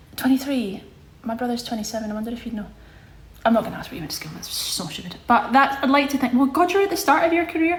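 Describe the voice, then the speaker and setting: A woman's high-pitched voice at a very fast pace, with very wide pitch swings, big swings in loudness and noticeable background noise. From Scotland, Glasgow. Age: 20s. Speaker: livestreamer. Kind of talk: casual chat. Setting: social media livestream. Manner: animated.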